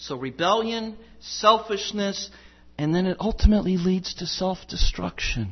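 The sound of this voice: The pitch shifts in an ordinary way. It comes from an unforced reading voice.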